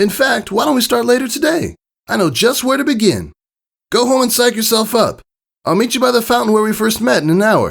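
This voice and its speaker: Here a man does a put-on character voice. It is high in pitch and fairly quick in pace. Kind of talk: fan reading of pony fanfiction. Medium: read story. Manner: brash, energetic, confident.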